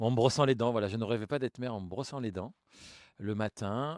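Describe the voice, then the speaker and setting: The voice shows ordinary pitch variation in a very clean recording with a silent background and a dry, close sound with no echo. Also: man. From Grigny, Essonne, Paris suburbs, France. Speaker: mayor. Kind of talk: interview. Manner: hesitant, many fillers.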